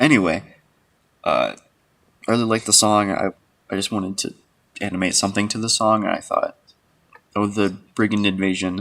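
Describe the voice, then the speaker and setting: Soft-spoken and fairly low in pitch, a man with an American accent talks at a moderate pace with fairly even intonation and long, frequent pauses. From United States. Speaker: animator and streamer. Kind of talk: casual livestream commentary. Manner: quiet, soft-spoken.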